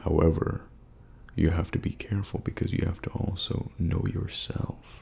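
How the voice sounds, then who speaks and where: In a relaxed tone, a man speaks with a very deep, low pitch and ordinary pitch variation. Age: 20s. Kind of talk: ASMR life advice talk. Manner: soft-spoken, relaxed.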